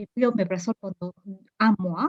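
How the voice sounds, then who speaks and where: A woman with a non-native accent speaks at a moderate pace in a somewhat breathy voice, the sound dry and close with no echo. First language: not French (speaking French). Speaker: patient. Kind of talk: testimony. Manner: hesitant.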